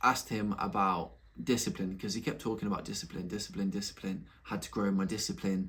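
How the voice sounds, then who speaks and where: Here a man speaks with a Nottingham accent. His tone is animated. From England, Nottingham. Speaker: YouTuber, entrepreneur. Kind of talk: casual vlog monologue. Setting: home room, recording at laptop.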